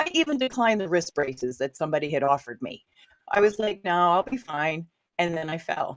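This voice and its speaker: A woman talks at a fairly quick pace in a fairly low pitch. Her tone is animated. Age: 60s. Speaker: ghostwriter and workshop trainer. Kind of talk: interview storytelling.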